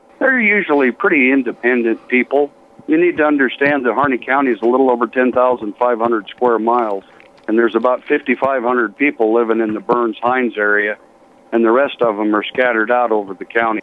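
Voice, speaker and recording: A man speaks at a very fast pace with a medium pitch and ordinary pitch variation. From Colorado, US. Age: 60s. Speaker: retired fire chief. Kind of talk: interview. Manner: polite and plain-spoken.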